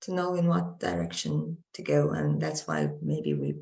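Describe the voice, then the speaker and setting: A woman talks at a fairly slow pace. She speaks with a Romanian accent. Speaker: drama student actor. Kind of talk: panel discussion. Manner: halting, many fillers.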